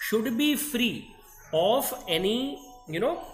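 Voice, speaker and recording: Music plays in the background as a man speaks with an Indian accent. His pitch swings very widely, and the room echo is audible. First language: Hindi. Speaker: dental lecturer. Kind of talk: online lecture. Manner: slow; code-switching Hindi-English.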